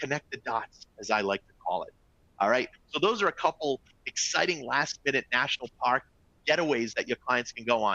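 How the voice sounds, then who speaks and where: Speaking fairly quickly in a Boston accent, a man at a medium pitch sounds animated, with a bright, sharp tone and lively intonation, recorded dry and close with no echo. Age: 40s. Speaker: travel company executive. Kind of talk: webinar presentation. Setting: live online webinar.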